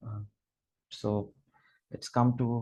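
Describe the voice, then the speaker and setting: A man with a Gujarati accent, somewhat breathy, with fairly even intonation. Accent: Indian English, Gujarati. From Gujarat, India. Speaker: literature scholar. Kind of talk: lecture. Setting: video call. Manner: halting, many fillers.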